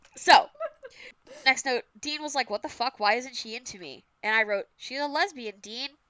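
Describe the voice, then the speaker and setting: In a raised, projected voice, a woman with a Massachusetts accent speaks at a moderate pace with a high pitch and lively intonation. Her tone is bright and sharp, her loudness swings widely, and the sound is dry and close with no echo. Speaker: podcast co-host. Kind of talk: casual chat.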